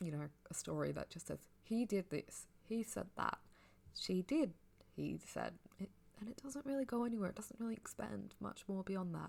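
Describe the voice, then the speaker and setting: A soft-spoken woman keeps to a moderate pace. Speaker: ASMR audio creator. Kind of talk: casual book review. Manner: sleepy, soft-spoken.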